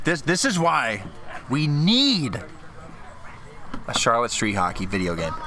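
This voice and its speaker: With audible room echo and noticeable background noise, a medium-pitched man speaks at a fairly slow pace, his pitch swinging very widely between long, frequent pauses. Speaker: amateur hockey play-by-play commentator. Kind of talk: live commentary. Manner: picking up a stutter.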